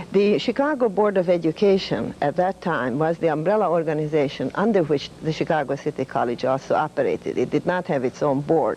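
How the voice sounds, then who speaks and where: A woman with a fairly low pitch and a Hungarian accent talks at a fairly quick pace, with hardly any pauses and lively intonation. Her loudness stays very even despite noticeable background noise. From Hungary. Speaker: retired professor of humanities. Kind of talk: interview.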